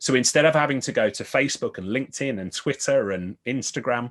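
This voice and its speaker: A man with a Birmingham accent at a fairly quick pace. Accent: Birmingham (Brummie). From Birmingham, England. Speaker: IT business consultant. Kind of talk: podcast interview.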